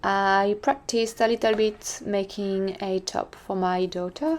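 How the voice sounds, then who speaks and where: In a French accent, a woman speaks at a fairly slow pace with a medium pitch and a dark, mellow tone. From France. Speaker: sewing vlogger. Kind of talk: voice-over narration.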